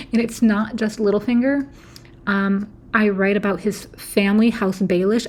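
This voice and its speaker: A woman speaks at a medium pitch with a somewhat breathy quality. Her intonation stays monotone and flat. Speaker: YouTube theory video creator. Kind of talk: casual monologue. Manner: hesitant, many fillers.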